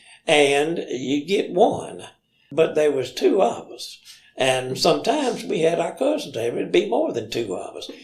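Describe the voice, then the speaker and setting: Speaking fairly slowly with an Alabama accent, a man's voice shows big swings in loudness. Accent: Southern US (Alabama). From Limestone County, Alabama. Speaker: storyteller. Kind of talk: interview answer, reminiscing story.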